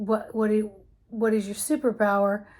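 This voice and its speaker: Somewhat breathy and calm in tone, a woman talks at a fairly slow pace with a fairly high pitch. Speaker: embodiment coach. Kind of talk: personal reflective monologue.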